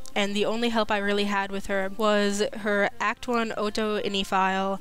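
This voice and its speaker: A woman's medium-pitched, monotone, flat voice, with audible room echo and music in the background. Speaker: UTAU voicebank creator. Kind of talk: interview.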